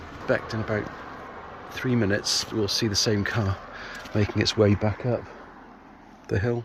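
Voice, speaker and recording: A man with a fairly low voice speaks at a moderate pace in a flat monotone, with long, frequent pauses. Noticeable background noise sits behind him. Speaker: motorcycle vlogger. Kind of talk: casual vlog. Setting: outdoors.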